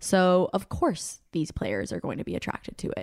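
Vocal fry runs through this voice at a moderate pace. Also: woman. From Colombia. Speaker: podcast co-host. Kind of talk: casual chat.

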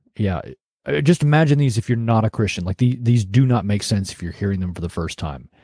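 A man's somewhat breathy, dark, mellow voice at a medium pitch, fairly quick in pace, with lively intonation and a dry, close sound with no echo. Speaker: podcast host. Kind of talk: solo commentary. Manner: casual, with filler hesitations. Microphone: new microphone.

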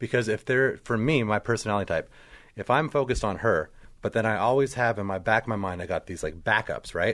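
The man talks at a very fast pace in a medium pitch with ordinary pitch variation, set against a quiet background. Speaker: podcast co-host. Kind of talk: casual interview chat.

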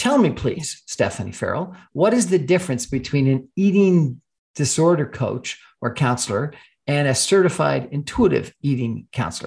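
The speaker talks at a moderate pace with lively intonation and a somewhat breathy quality, recorded very cleanly against a silent background. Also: man, fairly high pitch for a man. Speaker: radio host. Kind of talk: radio interview. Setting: radio studio. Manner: halting, many fillers.

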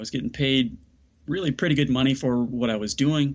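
A man with a fairly high voice speaks in an American accent. His pace is very fast. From US Midwest, south side of Chicago. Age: middle-aged. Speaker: mindset coach and speaker. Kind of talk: interview conversation.

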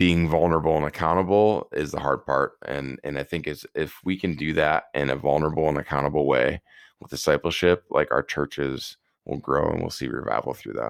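An American accent comes with vocal fry, a moderate pace and ordinary pitch variation. The recording is very clean and dry, close with no echo, over a silent background. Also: man. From Wisconsin, US Midwest. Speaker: Paralympic athlete and speaker. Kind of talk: interview testimony. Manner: animated.

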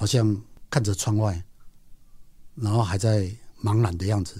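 In a very clean recording with a silent background, a man speaks at a fairly slow pace with a somewhat breathy, fairly low voice and ordinary pitch variation. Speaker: podcast host and nature writer. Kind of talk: storytelling narration.

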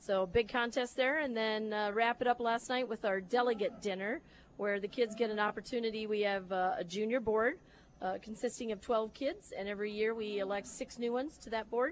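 With a Midwestern US accent, the speaker moves at a fairly quick pace with ordinary pitch variation against a quiet background. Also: woman, fairly high pitch for a woman. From northern Iowa. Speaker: livestock show organizer. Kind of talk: interview.

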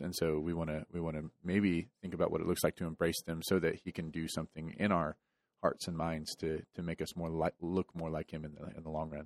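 At a fairly quick pace, a man speaks in a very deep, low pitch with monotone, flat intonation, in a dry, close sound with no echo on a very clean recording with a silent background. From Texas. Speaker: church podcast co-host. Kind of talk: casual chat about a sermon.

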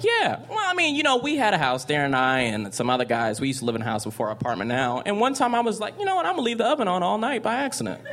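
A man talks at a very fast pace in a high voice, with very wide pitch swings and hardly any pauses. Noticeable background noise runs underneath. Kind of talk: stand-up-style storytelling and riffing.

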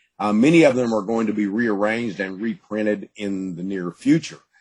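Talking at a fairly quick pace, a man with an East Texas accent uses lively intonation. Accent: East Texas Southern US. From East Texas, Gladewater. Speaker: author. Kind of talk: interview.

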